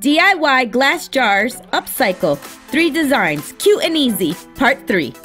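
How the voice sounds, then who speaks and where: A woman speaks at a very slow pace and a high pitch, with very wide pitch swings, very even loudness and hardly any pauses. Music plays in the background. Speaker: craft YouTuber. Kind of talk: craft tutorial voice-over.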